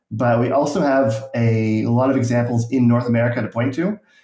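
A dark, mellow voice moves at a moderate pace in a monotone, flat intonation, with audible room echo over a quiet background. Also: man. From rural Nova Scotia, Canada. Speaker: YouTube urbanism creator. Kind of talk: casual interview. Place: home room.

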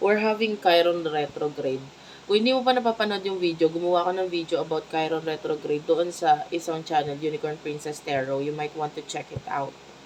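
Noticeable background noise sits behind a woman whose fairly low pitch and ordinary pitch variation come at a fairly quick pace. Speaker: tarot reader. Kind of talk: tarot reading to camera. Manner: kept quiet, not loud.

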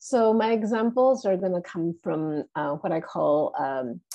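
This is a normal speaking voice from a woman with a fairly low pitch. The background is quiet. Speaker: literature professor. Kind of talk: lecture read from a paper. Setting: video call.

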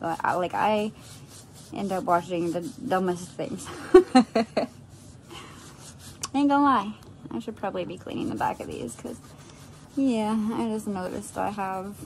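A woman speaks with long, frequent pauses. Light background noise can be heard. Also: moderate pace. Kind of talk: casual vlog chat. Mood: relaxed, self-deprecating, laughing. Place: home room. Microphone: phone near.

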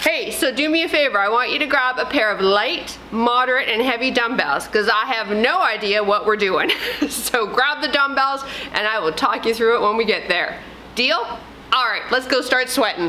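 Ordinary pitch variation at a moderate pace, over light background noise. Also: woman, high pitch for a woman. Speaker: fitness trainer. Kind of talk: workout instruction to camera. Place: gym. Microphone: lapel.

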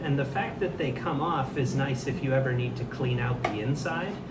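Speaking at a moderate pace, a man is heard through loud background noise. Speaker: kit maker demonstrating assembly. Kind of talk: tutorial. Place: workshop.

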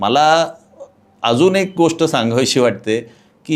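A man's fairly high voice with lively intonation, a plain, everyday voice, in a very clean recording with a silent background. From Pune, Maharashtra (east Pune). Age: 50s. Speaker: local politician. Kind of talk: interview.

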